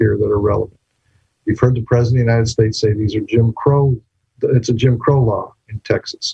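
Speaking at a fairly quick pace with fairly even intonation, a man with a medium pitch has a dark, mellow, somewhat breathy tone, recorded dry and close with no echo. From New Mexico. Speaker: law professor. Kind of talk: lecture.

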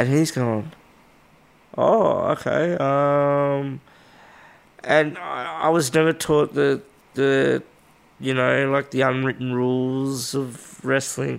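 With an Australian accent, a man speaks at a very slow pace with long, frequent pauses. His pitch is fairly high, with ordinary variation. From Western Australia (Albany). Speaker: professional wrestler. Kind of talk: casual interview chat. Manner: animated, laughs often.

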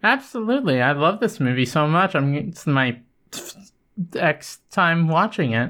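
The speech moves at a moderate pace. It is a very clean recording with a silent background. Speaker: podcast co-host. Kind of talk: casual chat. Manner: halting.

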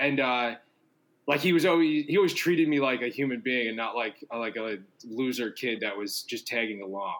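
At a moderate pace, a man with an American accent speaks at medium pitch with ordinary pitch variation. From New York City, Staten Island. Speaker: fiction writer and musician. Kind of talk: casual chat.

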